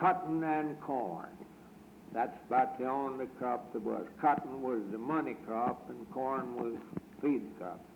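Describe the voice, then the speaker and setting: At a very slow pace, a man with an American accent talks at medium pitch. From Texas. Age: 80s+. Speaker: retired grocer. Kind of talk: oral history interview answer.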